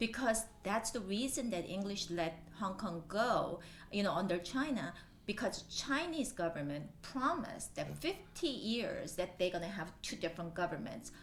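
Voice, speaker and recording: A woman with a Korean accent speaks at a moderate pace and medium pitch, with lively intonation. Audible room echo surrounds her voice. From Japan (Korean family). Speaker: local politician. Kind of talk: interview.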